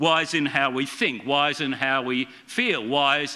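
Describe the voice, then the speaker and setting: Using a plain, everyday voice, a man speaks at a fairly high pitch and a fairly slow pace. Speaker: preacher. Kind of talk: sermon. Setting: church. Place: church. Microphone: podium.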